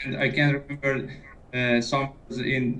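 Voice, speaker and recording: Noticeable background noise is present. The man talks at a fairly slow pace. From Iran. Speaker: caller, English learner. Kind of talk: casual chat. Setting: Skype call. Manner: halting, many hesitations.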